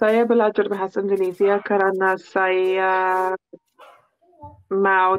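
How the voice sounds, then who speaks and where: Speaking very slowly, a woman uses a medium pitch. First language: English (speaking Indonesian). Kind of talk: casual chat. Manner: halting.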